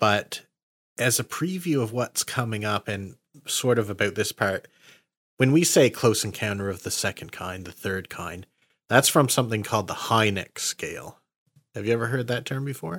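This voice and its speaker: A man with a Nova Scotian accent, medium pitch, lively intonation and moderate pace, on a very clean recording with a silent background and a dry, close sound with no echo. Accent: Nova Scotian Canadian English. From Nova Scotia, Canada. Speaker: podcast host. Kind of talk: casual chat.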